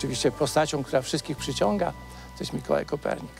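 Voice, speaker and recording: Clear music plays behind a man who talks at a very fast pace, with a dry sound and no echo. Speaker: interviewee. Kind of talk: interview answer. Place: street.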